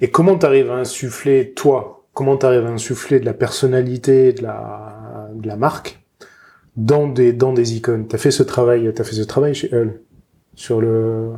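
A man talks at medium pitch and a fairly slow pace with fairly even intonation. It is a plain, everyday voice. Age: 30s. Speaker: podcast host. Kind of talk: interview.

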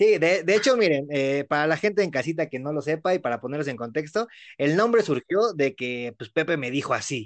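A man with a Mexican accent speaks at a fairly quick pace in a fairly high pitch. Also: lively intonation. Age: 20s. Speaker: podcast host. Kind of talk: casual chat.

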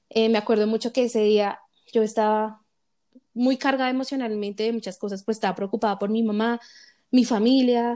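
Speaking at a moderate pace, a woman has a high-pitched, dark, mellow tone and fairly even intonation. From Colombia, Bogotá. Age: 20s. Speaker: podcast host. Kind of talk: casual chat.

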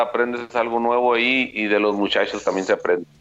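Music plays in the background as a man speaks. His pitch is medium, his pace moderate and his intonation fairly even. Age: 40s. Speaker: former baseball pitcher, now coach. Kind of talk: interview.

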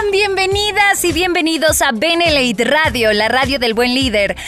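A woman speaks in a raised, projected voice at a high pitch, with very wide pitch swings and a fairly slow pace. Music plays in the background. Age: 20s. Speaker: radio host. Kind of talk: casual chat. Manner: animated.

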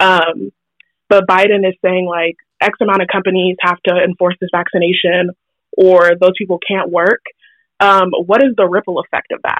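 Her intonation monotone and flat, a woman speaks at a moderate pace and a medium pitch. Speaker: public health student. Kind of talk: interview. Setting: phone call.

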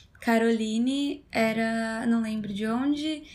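A woman speaks in a high-pitched voice. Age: 20s. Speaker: podcast host. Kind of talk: casual chat.

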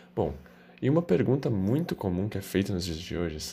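In a very clean recording with a silent background, a man with a dark, mellow, somewhat breathy tone speaks fairly quickly, his pitch swinging very widely. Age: 20s. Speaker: veterinary student. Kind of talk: scripted narration.

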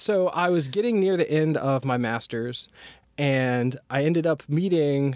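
With an American accent, a man talks in an unremarkable speaking voice at a fairly high pitch. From US South, North Carolina. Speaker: machine learning researcher, assistant professor. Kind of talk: interview.

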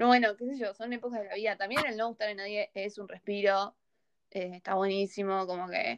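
With an unremarkable speaking voice, a woman talks at medium pitch and a fairly quick pace, her intonation fairly even, in a dry, close recording with no echo. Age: young. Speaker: podcast host. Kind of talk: casual chat.

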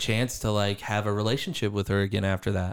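On a very clean recording with a silent background, a man speaks at a fairly low pitch in a flat, monotone way. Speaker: podcast host. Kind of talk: casual chat. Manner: casual, profane.

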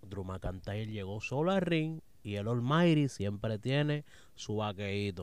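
This man speaks with a Puerto Rican accent. His pace is fairly slow and his intonation lively. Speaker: wrestling podcast panelist. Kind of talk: casual chat. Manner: animated.

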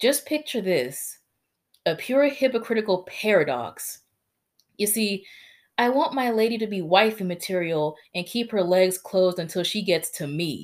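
The tone is animated, and the pace is moderate. Pitch swings very widely throughout. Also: woman, medium pitch for a woman. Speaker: poet. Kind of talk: spoken word poem. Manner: animated, pointed, sardonic delivery; mocking, shifts into cocky male voice.

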